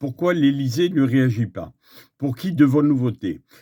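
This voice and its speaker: The voice has a dark, mellow tone and a fairly slow pace, captured in a very clean recording with a silent background. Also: man. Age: 60s. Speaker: activist. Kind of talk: public statement. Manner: hesitant, with filler sounds.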